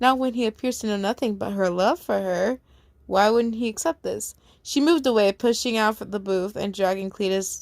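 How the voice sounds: The pitch varies in an ordinary way in this natural reading voice.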